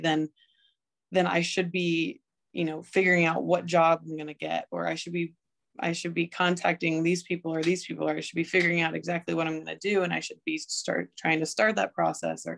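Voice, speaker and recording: Against a quiet background, the speech runs at a fairly quick pace. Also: woman. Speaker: podcast guest. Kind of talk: interview answer. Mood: thoughtful, calm. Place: home room. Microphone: video call.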